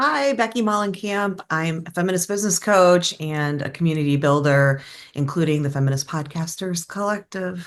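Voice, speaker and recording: A woman with a plain, everyday voice speaks at a fairly low pitch and a moderate pace, with ordinary pitch variation. She hardly pauses, over a quiet background. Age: 50s. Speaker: business coach. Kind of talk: panel discussion.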